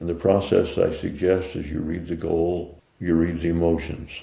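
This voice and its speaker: The man's voice sits very deep and low, with fairly even intonation. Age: 80s+. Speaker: mindset coach and author. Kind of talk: interview answer.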